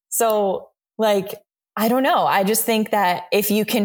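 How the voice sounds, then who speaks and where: Here a woman speaks with an American accent. Her pitch is medium and her pace fairly slow. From Miami, Florida. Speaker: actress and film director. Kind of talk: interview conversation. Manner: animated.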